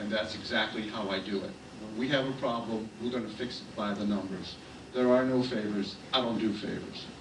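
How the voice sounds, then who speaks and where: With an American accent, a man with a fairly low voice and fairly even intonation talks at a fairly quick pace amid noticeable background noise and audible room echo. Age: 70s. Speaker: city official. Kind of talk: political speech.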